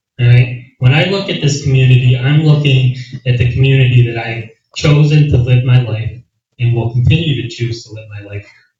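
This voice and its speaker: The loudness swings widely from moment to moment. Pitch moves in an ordinary way. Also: man, medium pitch for a man. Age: 30s. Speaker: county legislator and candidate. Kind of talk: candidate forum answer. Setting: community meeting with audience. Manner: animated.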